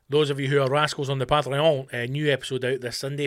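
Very fast speech from a man with a Scottish accent, in a very clean recording with a silent background. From West of Scotland. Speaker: comedian and podcast host. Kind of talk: casual solo chat. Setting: home studio.

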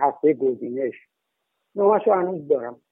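A man talks with very wide pitch swings. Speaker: former expelled agriculture student. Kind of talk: interview testimony.

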